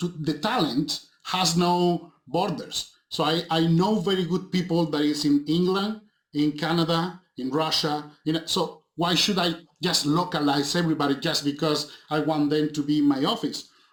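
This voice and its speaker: Speaking in a Spanish accent, a man talks at a moderate pace in a fairly high pitch, with fairly even intonation and very even loudness. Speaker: film director and visual effects supervisor. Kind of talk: interview. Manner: halting, with frequent repetitions.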